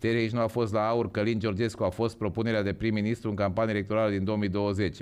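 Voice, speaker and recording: A man's very fast, monotone delivery with flat intonation at a fairly low pitch. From Romania. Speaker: podcast host. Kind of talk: casual chat. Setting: livestream. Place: studio. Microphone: studio mic.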